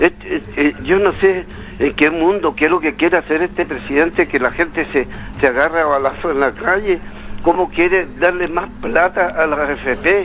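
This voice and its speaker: With noticeable background noise around him, a man delivers his words at a moderate pace. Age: 80s+. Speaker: caller. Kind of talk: phone-in opinion. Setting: phone call. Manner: animated; halting.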